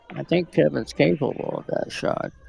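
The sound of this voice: Soft-spoken and croaky, a man talks at a moderate pace and fairly high pitch, with vocal fry, a husky, rough edge, a slightly mellow tone and ordinary pitch variation.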